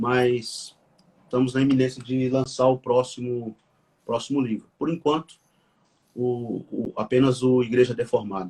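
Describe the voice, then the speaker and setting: A man's dark, mellow tone at medium pitch, fairly slow, with fairly even intonation and long, frequent pauses. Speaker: pastor and author. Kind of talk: conversational interview, live stream. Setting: live video stream. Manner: halting, with repetitions.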